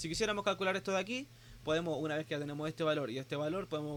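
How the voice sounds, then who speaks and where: A man is talking here, his voice fairly high in pitch. The rise and fall of his pitch is ordinary. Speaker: teaching assistant. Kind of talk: tutorial.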